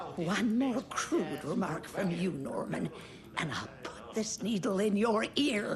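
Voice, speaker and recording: Putting on a character voice, a woman at a medium pitch speaks at a fairly slow pace with very wide pitch swings over clear background noise. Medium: video game.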